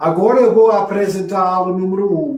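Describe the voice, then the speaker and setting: A man with a high pitch speaks in a non-native accent, with ordinary pitch variation. Audible room echo fills the recording. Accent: foreign accent in Portuguese, non-native. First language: English (speaking Portuguese). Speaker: religious teacher. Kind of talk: lecture. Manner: halting.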